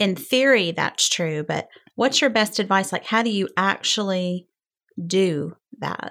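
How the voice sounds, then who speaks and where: With an ordinary speaking voice, a woman talks at a fairly slow pace, medium in pitch and with ordinary pitch variation. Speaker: podcast co-host and mother. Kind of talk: casual chat.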